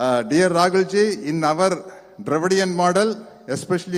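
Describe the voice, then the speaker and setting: His pitch varies in an ordinary way. This man speaks at a high pitch. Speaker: speaker at a book launch. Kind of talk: public speech. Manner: halting in English.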